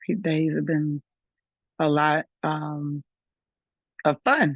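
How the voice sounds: Delivered at a slow pace with little pitch movement, the speech has a dry, close sound with no echo. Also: woman.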